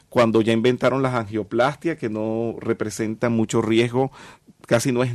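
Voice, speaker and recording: In a dry, close recording with no echo, a man has an unremarkable speaking voice, medium in pitch and moderate in pace. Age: 50s. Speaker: metaphysics teacher. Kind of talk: interview.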